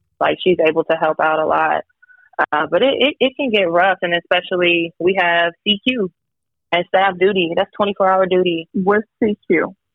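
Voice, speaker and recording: A woman with an unremarkable speaking voice talks at a moderate pace and medium pitch, with ordinary pitch variation and very even loudness. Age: 20s. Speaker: active duty army soldier and single mother. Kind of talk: casual interview.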